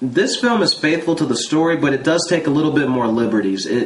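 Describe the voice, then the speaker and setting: A man talks at a fairly quick pace with a fairly high pitch and lively intonation. Noticeable background noise runs behind him. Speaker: movie reviewer. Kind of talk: casual movie review talk to camera.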